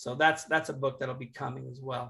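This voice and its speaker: A man's bright, sharp tone at a fairly quick pace. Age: 50s. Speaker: worship leader and professor. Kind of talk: casual interview.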